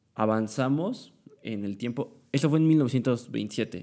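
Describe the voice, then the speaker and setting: The speaker is a man. He has a dark, mellow tone. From Mexico, Puebla. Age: young. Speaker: student podcaster. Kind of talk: casual monologue. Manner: halting, many fillers.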